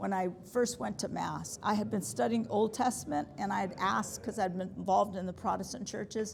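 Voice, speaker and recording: Loud and fairly quick, a woman speaks with a General American accent at medium pitch, with lively intonation and hardly any pauses. Noticeable background noise is present. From US Midwest (Nebraska), then California. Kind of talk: talk to a parish group. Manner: loud, projecting. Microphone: no microphone.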